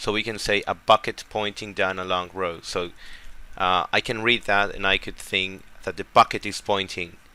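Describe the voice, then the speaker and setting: A man speaks in a fairly low voice with a bright, sharp tone. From Paraguay. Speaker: test prep tutor. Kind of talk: tutorial. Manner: halting, many fillers.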